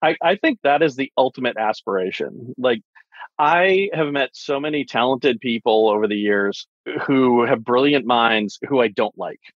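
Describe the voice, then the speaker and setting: This voice is an ordinary speaking voice, moving at a moderate pace with ordinary pitch variation. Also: man, medium pitch for a man. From US East Coast. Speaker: tech marketing executive. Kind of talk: casual chat.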